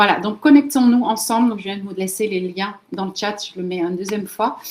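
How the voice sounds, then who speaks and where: Over noticeable background noise, a woman with a Dutch accent talks at a fairly quick pace in a medium pitch. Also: ordinary pitch variation. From Netherlands, moved to France very young. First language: Dutch (speaking French). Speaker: LinkedIn marketing trainer, entrepreneur. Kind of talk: webinar presentation. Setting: video call webinar.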